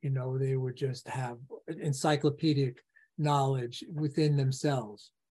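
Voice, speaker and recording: A man with an American accent talks at a fairly slow pace and a medium pitch, his tone dark and mellow and somewhat breathy. His intonation stays fairly even against a quiet background. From New York City. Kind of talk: casual interview conversation.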